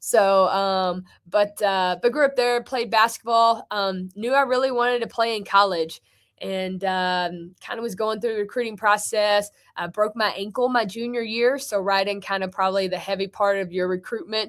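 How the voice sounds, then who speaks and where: A woman with a slight Tennessee accent speaks at a moderate pace and medium pitch, her intonation fairly even, on a very clean recording with a silent background. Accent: slight Tennessee accent with Ozarks flair. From northwest Tennessee (small town near Martin). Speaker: college basketball head coach. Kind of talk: sports interview.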